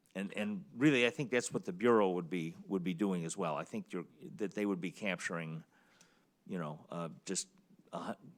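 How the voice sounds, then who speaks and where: A man's very deep, low voice at a moderate pace, with ordinary pitch variation, in a very clean recording against a silent background. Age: 70s. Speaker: petition signature analyst, public commenter. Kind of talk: public testimony at government board meeting. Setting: public board meeting. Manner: halting, many repetitions.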